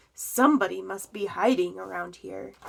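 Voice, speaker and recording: A woman uses a put-on character voice that is raspy. She talks at a moderate pace. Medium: read story.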